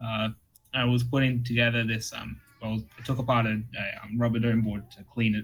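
Somewhat breathy male speech at a fairly quick pace, with monotone, flat intonation. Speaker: keyboard hobbyist. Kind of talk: casual chat. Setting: online voice chat.

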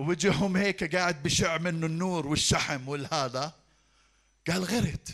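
A man speaks at a very slow pace in a high pitch. His pitch varies in an ordinary way. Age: 50s. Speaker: pastor. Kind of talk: sermon.

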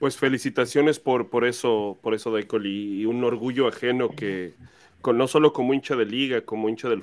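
A man with a plain, everyday voice, medium in pitch, at a moderate pace. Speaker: fan podcast host. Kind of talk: casual interview. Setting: live stream video call.

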